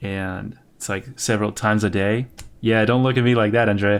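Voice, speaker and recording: The speaker has a non-native accent, moving at a moderate pace with fairly even intonation. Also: man. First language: not English. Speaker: podcast co-host, artist. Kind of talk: casual chat.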